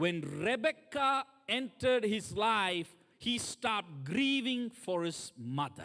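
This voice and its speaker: A man's high, raised, projected voice with a bright, sharp tone and very wide pitch swings. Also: very clean recording, silent background. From third world country. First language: not English. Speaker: guest preacher. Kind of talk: sermon.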